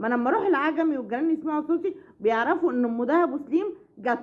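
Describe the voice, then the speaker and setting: Lively intonation marks this woman's speech. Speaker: family vlogger. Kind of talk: casual vlog chat. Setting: at home. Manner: loud; halting.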